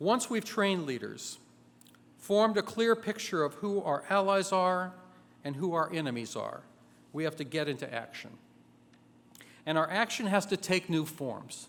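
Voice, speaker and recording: A man's high-pitched voice with lively intonation, a moderate pace, and long, frequent pauses. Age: 60s. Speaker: labor organizer. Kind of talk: convention speech.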